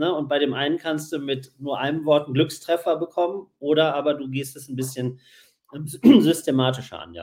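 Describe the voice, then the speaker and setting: A man talks at a moderate pace in an unremarkable speaking voice. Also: fairly high pitch for a man, ordinary pitch variation, big swings in loudness. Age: 40s. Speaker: podcast host and magazine publisher. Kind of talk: casual chat.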